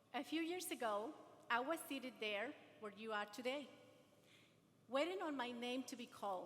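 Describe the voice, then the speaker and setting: At a moderate pace, a woman speaks in a high pitch. She takes long, frequent pauses. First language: not English. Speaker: adult education graduate and speaker. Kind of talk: ceremony speech, partly read aloud. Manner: halting.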